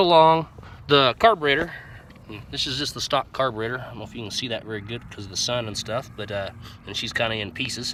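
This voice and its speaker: Over noticeable background noise, a man at a medium pitch speaks with lively intonation and big swings in loudness. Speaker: hobby mechanic. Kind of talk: casual talk to camera.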